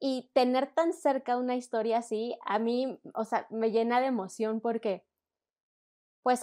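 The pace of this speech is fairly slow. The background is silent on a very clean recording. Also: woman. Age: 30s. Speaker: children's story producer. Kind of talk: interview.

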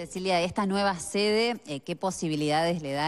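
A woman at a moderate pace, with a clear, smooth tone, ordinary pitch variation and faint music in the background

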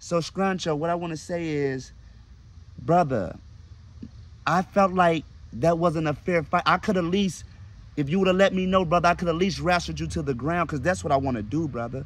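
A man speaks at a moderate pace with lively intonation, leaving long, frequent pauses. The sound is dry, with no echo. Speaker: comedian. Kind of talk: comedic rant to camera. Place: garden. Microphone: phone near.

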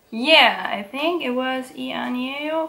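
A woman in a German accent at a very slow pace. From Germany. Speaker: YouTuber. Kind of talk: tutorial. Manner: halting. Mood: relaxed, playful. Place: home room.

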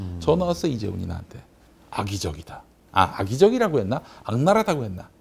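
A somewhat breathy man speaks at a very fast pace with very wide pitch swings. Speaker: nonprofit chairman and commentator; commentator. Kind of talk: panel discussion. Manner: animated. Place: studio. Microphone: lapel.

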